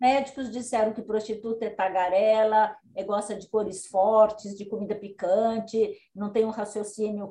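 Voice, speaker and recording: A woman's fairly high voice with flat, monotone intonation at a moderate pace. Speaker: retired history professor. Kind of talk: interview. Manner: halting, many fillers.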